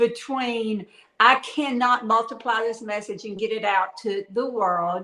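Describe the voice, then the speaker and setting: In a Southern US accent, a woman with a fairly high pitch speaks at a fairly slow pace with ordinary pitch variation. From Louisiana. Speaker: author. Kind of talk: live interview.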